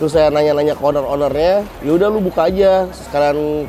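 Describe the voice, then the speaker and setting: A man with a fairly high pitch and fairly even intonation, speaking at a fairly quick pace over music in the background. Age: 30s. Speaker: small business owner. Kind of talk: testimonial. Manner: casual.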